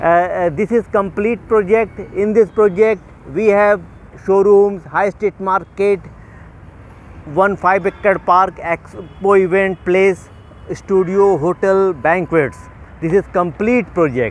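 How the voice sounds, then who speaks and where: A man talks very slowly in a high pitch, the sound dry with no echo. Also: ordinary pitch variation. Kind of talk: sales walkthrough commentary. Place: street. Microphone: phone near.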